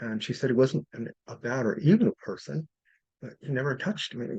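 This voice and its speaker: He has a plain, everyday voice and lively intonation. The man speaks at a moderate pace, with a dry, close sound and no echo. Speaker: spiritual healer and channeler. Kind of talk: workshop class talk.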